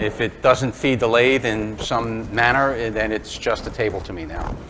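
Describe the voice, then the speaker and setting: With fairly even intonation and a medium pitch, a man speaks at a moderate pace as noticeable background noise runs underneath. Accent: New York. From Brooklyn, New York. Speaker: woodturning demonstrator. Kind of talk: live demonstration talk. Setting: club demonstration before live audience. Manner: casual, hesitant with fillers.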